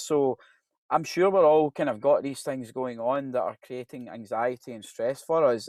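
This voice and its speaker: In a Glasgow accent, a man talks at a moderate pace and a medium pitch. The background is quiet. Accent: Scottish (Glasgow). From Scotland, Glasgow. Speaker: professor. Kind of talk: presentation. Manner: conversational, hesitant with fillers.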